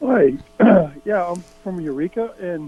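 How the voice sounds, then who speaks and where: A man at a fairly slow pace with lively intonation, music in the background. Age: 60s. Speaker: caller. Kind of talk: casual chat. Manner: halting.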